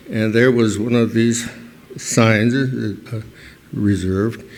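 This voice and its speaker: Noticeable background noise runs behind the speaker. He is a man with a medium pitch and fairly even intonation. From New Mexico, Santa Clara Pueblo. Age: 80s+. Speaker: historian. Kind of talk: award acceptance speech. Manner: halting.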